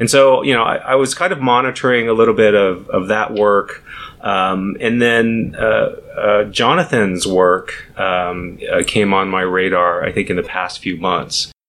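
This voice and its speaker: The speech comes at a fairly slow pace with hardly any pauses, over noticeable background noise. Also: man, fairly low pitch for a man, ordinary pitch variation. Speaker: data science director. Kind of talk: casual interview explanation. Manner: halting, many filler words.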